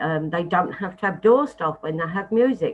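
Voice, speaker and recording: This woman has an unremarkable speaking voice, pitched medium, with lively intonation. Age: 60s. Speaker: pub licensee. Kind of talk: licensing hearing submission.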